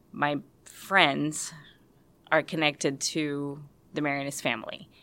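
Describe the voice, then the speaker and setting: This woman has a very deep, low pitch and a Spanish accent, with a bright, sharp tone. She talks at a fairly slow pace on a very clean recording with a silent background. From Puerto Rico, San Juan. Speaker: university staff, lay religious member. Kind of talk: interview testimony.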